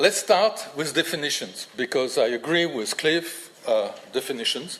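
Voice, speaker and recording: Over noticeable background noise, a voice with a French accent shows ordinary pitch variation. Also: man. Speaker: linguistics professor. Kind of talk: lecture. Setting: lecture hall with audience. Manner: halting, many fillers.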